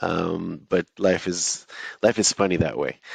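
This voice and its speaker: This man has a very deep, low pitch and an Israeli accent. His intonation is fairly even, and the sound is dry and close with no echo. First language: Hebrew. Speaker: author and entrepreneur. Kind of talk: interview. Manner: hesitant, many fillers.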